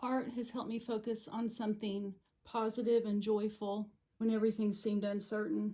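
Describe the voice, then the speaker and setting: In an American accent, a woman speaks at a fairly high pitch with a dark, mellow, somewhat breathy tone. Her intonation is monotone and flat, and her pace is moderate. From Missouri. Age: 60s. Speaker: watercolor painter. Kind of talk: personal story talk to camera.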